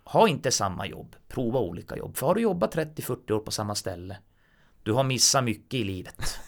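On a very clean recording with a silent background, a man at medium pitch talks at a fairly quick pace with lively intonation. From northern Sweden, Kiruna. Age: 40s. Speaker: blind musician and mechanic. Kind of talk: casual chat.

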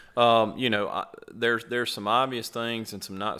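Over a very clean recording and silent background, a man with a Mississippi accent speaks fairly quickly in a bright, sharp tone with monotone, flat intonation. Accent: Southern US (Mississippi). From Mississippi, US South. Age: 30s. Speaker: turkey hunter. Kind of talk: casual chat.

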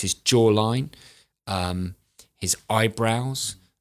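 In a very clean recording with a silent background, a man with a British accent speaks at a medium pitch with ordinary pitch variation. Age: 40s. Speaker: grooming and aging expert. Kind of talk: casual interview chat.

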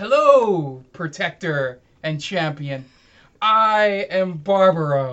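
A put-on character voice, raised and projected, moves at a very slow pace in a middle pitch. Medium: actual play. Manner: formal, courteous.

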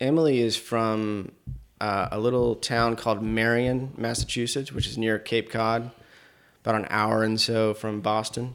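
With an American accent and a plain, everyday voice, a man speaks at a medium pitch and a fairly slow pace with fairly even intonation on a very clean recording with a silent background. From Asheville, North Carolina. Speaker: filmmaker. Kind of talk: casual interview chat.

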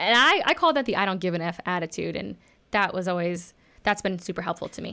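In an American accent, a woman talks at a fairly quick pace with a medium pitch, ordinary pitch variation, a bright, sharp tone and vocal fry. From Texas. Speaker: actress and podcast host. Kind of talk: casual chat.

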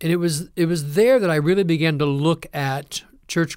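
A man with a Midwestern US accent speaks at a fairly slow pace in a high voice with fairly even intonation, on a very clean recording with a silent background. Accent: US Midwest. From Ohio. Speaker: seminary professor. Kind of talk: interview.

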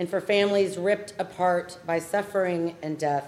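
A woman with an unremarkable speaking voice at a medium pitch, her intonation fairly even and her pace fairly slow. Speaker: prayer leader. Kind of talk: fervent solemn prayer at a vigil service. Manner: earnest, grieving, tender; measured, liturgical cadence.

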